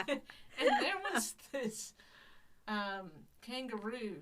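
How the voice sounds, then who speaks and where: Her intonation is lively. This woman talks at a fairly high pitch. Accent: Southern US. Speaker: podcast host. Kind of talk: casual chat.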